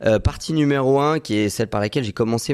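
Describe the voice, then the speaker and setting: A man delivers his words at a very fast pace and ordinary pitch variation, on a very clean recording where the background is silent. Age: 20s. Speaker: medical intern and real estate investor. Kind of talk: podcast interview.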